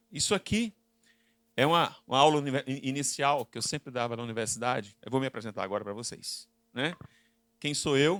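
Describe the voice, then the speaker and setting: A man talks at a moderate pace with a Recife accent. His pitch is medium, with ordinary variation. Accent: Northeastern Brazilian (Recife). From Brazil, Northeast (Recife). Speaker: business consultant and lecturer. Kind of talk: conference talk. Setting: stage with audience. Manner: interactive, questioning the audience.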